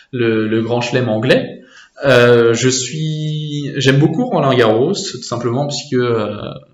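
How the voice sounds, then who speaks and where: Very slowly, a man speaks at medium pitch with ordinary pitch variation amid noticeable background noise. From France (Normandy). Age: 20s. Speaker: student. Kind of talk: casual interview. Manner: hesitant, many fillers and repetitions.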